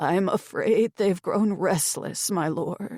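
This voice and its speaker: A female-sounding, raspy put-on character voice at medium pitch and a very slow pace. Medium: read story. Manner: deferential, addresses master as my lord.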